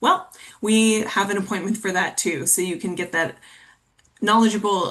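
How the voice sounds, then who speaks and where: At a moderate pace comes a plain, everyday voice. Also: woman. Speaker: college financial aid counselor. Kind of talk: webinar presentation. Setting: webinar.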